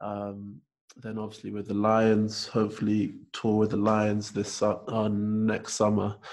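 A man's fairly low, monotone, flat voice at a fairly slow pace. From North London. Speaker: podcast host. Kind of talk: casual interview conversation.

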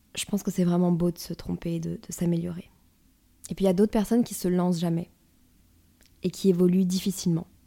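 A woman's dark, mellow, somewhat breathy voice, fairly low in pitch and monotone and flat in intonation, moves at a fairly quick pace with long, frequent pauses in a very clean recording with a silent background. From northern France. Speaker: podcast host. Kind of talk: personal monologue.

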